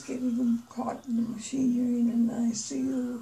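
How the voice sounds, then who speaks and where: Audible noise sits in the background. A woman talks at a medium tempo. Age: 90s. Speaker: retired nurse. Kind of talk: interview. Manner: halting.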